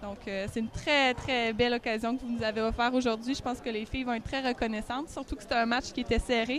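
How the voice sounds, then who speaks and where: Very fast and with hardly any pauses, a woman speaks at a high pitch in a Quebec accent. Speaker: guest commentator, Quebec team staff. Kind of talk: live commentary. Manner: animated.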